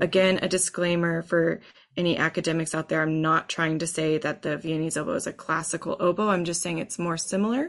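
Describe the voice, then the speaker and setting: Against a quiet background, a woman with an American accent speaks fairly quickly in a normal speaking voice, with a fairly low pitch and fairly even intonation. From Texas. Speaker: oboe professor. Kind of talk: interview.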